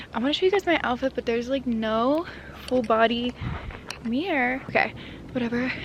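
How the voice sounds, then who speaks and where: Delivered at a moderate pace with ordinary pitch variation, the speech comes over noticeable background noise. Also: woman. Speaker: lifestyle vlogger. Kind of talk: casual vlog chat.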